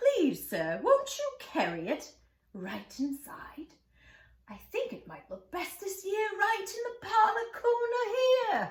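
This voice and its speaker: Put-on character voice from a woman, pitched extremely high, delivered at a fairly slow pace. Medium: read story. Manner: excitable, genteel.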